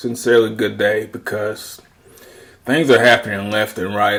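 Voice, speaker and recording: At a fairly slow pace, a man speaks in a fairly low pitch with an American accent. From US South. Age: 30s. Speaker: video commentator. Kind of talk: casual monologue commentary. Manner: rambling, casual.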